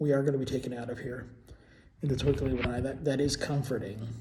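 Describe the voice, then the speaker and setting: Audible room echo surrounds a man who talks at a fairly quick pace with a fairly high pitch. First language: Portuguese. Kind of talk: casual monologue vlog. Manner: halting, many fillers and repetitions.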